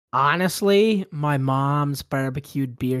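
With a Canadian accent, a man talks at medium pitch with ordinary pitch variation in a very clean recording against a silent background. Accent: Canadian, noticeable. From Canada. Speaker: hockey fan guest. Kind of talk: casual chat.

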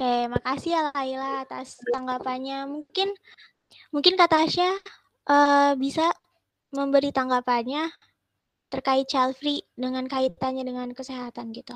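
A high-pitched woman at a fairly slow pace, fairly even in intonation yet with big swings in loudness. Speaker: podcast moderator. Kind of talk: casual discussion.

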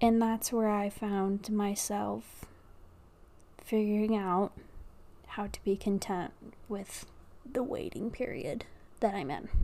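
A woman's medium-pitched voice at a very slow pace, with long, frequent pauses and fairly even intonation, on a very clean recording against a silent background. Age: 20s. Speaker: podcaster. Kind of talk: casual monologue. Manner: rambling, hesitant.

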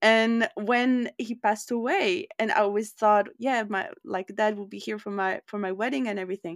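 A woman speaks in a normal speaking voice at a moderate pace, her pitch fairly high with ordinary variation, in a very clean recording with a silent background and a dry, close sound with no echo. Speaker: podcast host. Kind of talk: casual interview chat.

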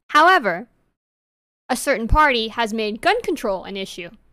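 Very clean and with a silent background, this recording has a woman speaking with an American accent at a fairly high pitch. Her tone is bright and sharp, at a moderate pace. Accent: New York accent, shows when heated. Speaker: podcast co-host. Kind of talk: casual chat.

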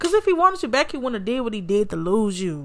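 In an animated tone, a woman talks with very wide pitch swings. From Alabama, US South. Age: 20s. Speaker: podcast host. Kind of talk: casual storytelling monologue.

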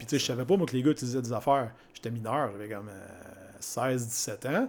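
His pitch is medium and its variation ordinary. The man uses an ordinary speaking voice and moves at a fairly quick pace. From Quebec, Mauricie (Grand-Mère). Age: 40s. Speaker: fitness coach and entrepreneur. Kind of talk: casual interview conversation.

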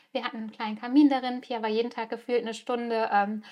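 A woman speaks with a fairly high pitch. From Germany. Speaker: podcast host. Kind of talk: personal storytelling monologue. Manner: hesitant with frequent fillers.

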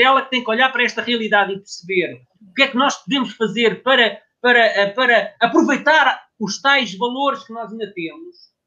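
This man's voice sits at an extremely high pitch. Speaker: former distance runner, journalist. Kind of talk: casual chat.

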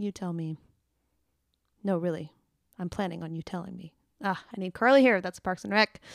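Recorded very cleanly against a silent background with a dry, close sound and no echo, a woman speaks at a medium pitch and moderate pace, with ordinary pitch variation and long, frequent pauses. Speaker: podcaster and singer. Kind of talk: solo podcast, casual chat. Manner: casual, chatty, upbeat.

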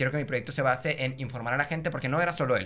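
Talking at a very fast pace, a man with a bright, sharp tone uses ordinary pitch variation. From Mexico, Monterrey. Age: 20s. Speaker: singer and content creator. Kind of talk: casual chat.

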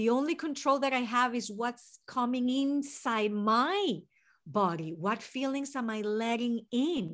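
In a Venezuelan accent, a woman with a high pitch talks at a fairly slow pace with lively intonation, on a very clean recording with a silent background. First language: Spanish. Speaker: mental health therapist. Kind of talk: interview.

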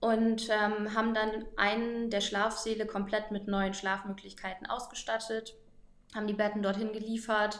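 A woman talks at a fairly slow pace in a fairly high voice. Her intonation is monotone and flat, and room echo is audible. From northern Germany, Oldenburg. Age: 20s. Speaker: volunteer organizer and Instagram influencer. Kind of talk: interview.

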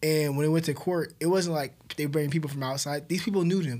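With an ordinary speaking voice, a man talks at a fairly high pitch with fairly even intonation. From Southern California, Inland Empire. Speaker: police officer. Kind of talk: casual chat.

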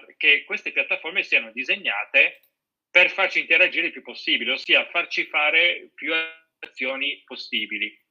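A man talks at a moderate pace, with big swings in loudness. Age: 40s. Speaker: psychologist. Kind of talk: interview.

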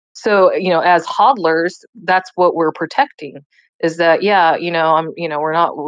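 A woman speaks fairly slowly at a fairly low pitch, with ordinary pitch variation. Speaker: host of an open-mic audio chat. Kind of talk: casual group discussion. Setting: online audio room. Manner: halting, many fillers and repeats.

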